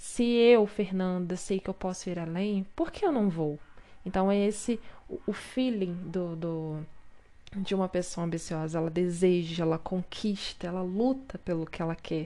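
A woman speaks at a fairly slow pace with a medium pitch and ordinary pitch variation. Her tone is dark and mellow. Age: 20s. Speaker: podcast host. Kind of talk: solo podcast monologue. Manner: animated.

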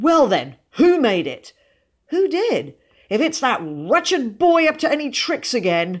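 At a slow pace, a woman performs a put-on character voice with a high pitch and big pitch swings.

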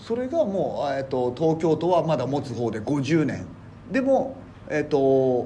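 This man's voice is fairly high, with very wide pitch swings. Audible room echo fills the recording. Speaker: comedian and garbage collector. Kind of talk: casual chat.

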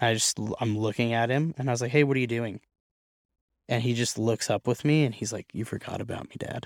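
A man's plain, everyday voice at a medium pitch with an American accent, fairly even intonation, a fairly quick pace, and a dry, close sound with no echo. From US Pacific Northwest (Oregon). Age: 20s. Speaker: barber and young father. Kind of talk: casual interview chat. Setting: studio.

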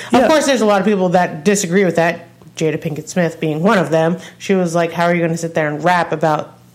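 A woman's fairly low-pitched voice at a very fast pace, with ordinary pitch variation, over noticeable background noise. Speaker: music review podcast co-host. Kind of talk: casual chat.

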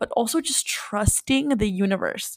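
A woman's fairly high voice, a normal speaking voice with ordinary pitch variation, in a dry, close sound with no echo. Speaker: podcast co-host. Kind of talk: casual chat.

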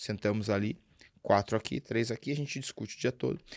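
On a very clean recording with a silent background and a dry, close sound with no echo, a man with an unremarkable speaking voice talks at a fairly quick pace with ordinary pitch variation. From Brazil, Sorocaba (interior of São Paulo state). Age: 40s. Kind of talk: casual interview.

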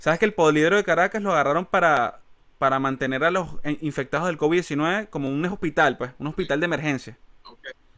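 Speaking very fast with a Venezuelan accent, a man uses a fairly high pitch and ordinary pitch variation. His tone is bright and sharp. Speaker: podcast host. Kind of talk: casual chat. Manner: animated.

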